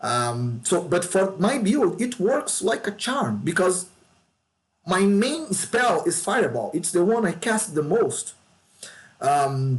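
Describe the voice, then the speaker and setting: At a fairly slow pace, a man with a Brazilian Portuguese accent speaks in a high pitch with very wide pitch swings and very even loudness. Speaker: gaming YouTuber. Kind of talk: game tutorial. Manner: casual, with fillers and repetitions.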